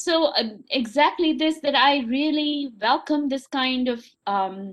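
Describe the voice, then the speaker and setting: Behind this woman's voice, the background is quiet. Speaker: college teacher. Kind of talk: panel discussion.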